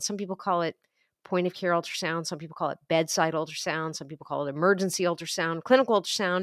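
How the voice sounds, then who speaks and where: An ordinary speaking voice from a woman with an American accent, medium in pitch with ordinary pitch variation, dry and close with no echo, on a very clean recording against a silent background. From USA. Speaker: emergency physician. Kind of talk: interview.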